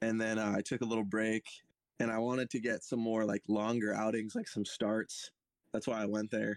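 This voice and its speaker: With an American accent, a man speaks at a moderate pace and medium pitch in a monotone, flat way, his loudness very even and the sound dry and close with no echo. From California (Santa Cruz County). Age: 20s. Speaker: professional baseball pitcher. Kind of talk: casual interview.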